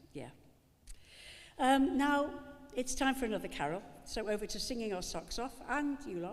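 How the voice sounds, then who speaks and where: A woman with a Liverpool accent speaks at a moderate pace in a high voice, with lively intonation and long, frequent pauses. There is audible room echo. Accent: Liverpool (Scouse). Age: 70s. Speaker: actress and event presenter. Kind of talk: live event hosting. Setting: stage with audience. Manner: chatty, joking ad-lib.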